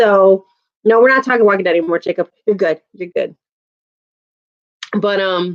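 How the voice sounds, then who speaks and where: A woman at a medium pitch and moderate pace, with ordinary pitch variation, long, frequent pauses, and a dry, close sound with no echo. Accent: American. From Chicago, US Midwest. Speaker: YouTuber. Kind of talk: casual chat. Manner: animated.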